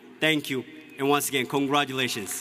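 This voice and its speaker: A man with an Ethiopian accent speaks over music in the background. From Ethiopia (Oromia). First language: Oromo. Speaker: student speaker. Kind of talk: commencement speech.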